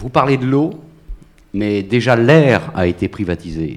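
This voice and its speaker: A man speaking at a very slow pace, with lively intonation. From Brittany, Finistère. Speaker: audience member, small-party activist. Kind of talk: audience question. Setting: public recording in a café courtyard.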